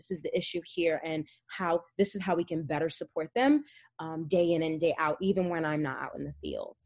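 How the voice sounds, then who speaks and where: An ordinary speaking voice from a woman, fairly low-pitched and fairly quick, with ordinary pitch variation and big swings in loudness, in a dry, close sound with no echo. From New Jersey (North Jersey). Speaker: family therapist. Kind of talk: interview.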